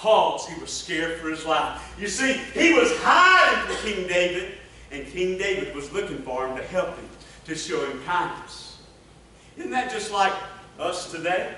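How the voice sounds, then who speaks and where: A man with a Southern US accent in a raised, projected voice, moderate pace, ordinary pitch variation and big swings in loudness, with audible room echo and light background noise. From US South. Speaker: revival preacher. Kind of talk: impassioned revival sermon building to an altar call. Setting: church service with congregation. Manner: fervent, rolling cadence punctuated by repeated amens; stammers and repeats words when emotional. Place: church.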